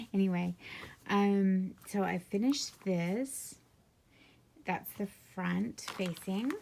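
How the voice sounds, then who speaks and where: At a very slow pace, a woman speaks with a dark, mellow tone, somewhat breathy and with ordinary pitch variation. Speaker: sewing instructor. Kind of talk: tutorial.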